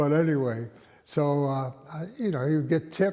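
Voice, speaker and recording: Speaking with an American accent at a fairly slow pace, a man has a fairly high pitch and a dark, mellow tone. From Westerly, Rhode Island, US. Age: 90s. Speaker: retired doctor, oral history interviewee. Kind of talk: oral history interview. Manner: halting, many fillers.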